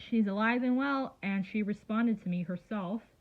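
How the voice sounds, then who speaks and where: At a moderate pace, the speaker sounds somewhat breathy and uses ordinary pitch variation. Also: woman. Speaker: YouTuber. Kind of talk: casual vlog.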